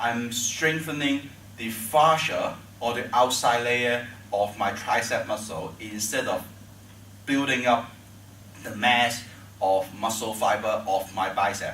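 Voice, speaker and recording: At a very slow pace with long, frequent pauses, a man with a Chinese accent speaks at a medium pitch with ordinary pitch variation, amid audible room echo and noticeable background noise. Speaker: tai chi teacher. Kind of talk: tutorial. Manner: halting.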